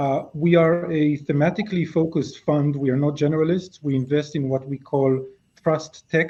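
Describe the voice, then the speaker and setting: The voice is somewhat breathy, with monotone, flat intonation. It moves at a moderate pace. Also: man. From Israel. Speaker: venture capital investor. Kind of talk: webinar panel introduction.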